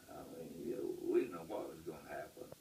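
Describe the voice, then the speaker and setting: The speaker is a man with a West Texas accent. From Lubbock, Texas. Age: 80s+. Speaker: World War II Navy Seabees veteran. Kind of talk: interview answer.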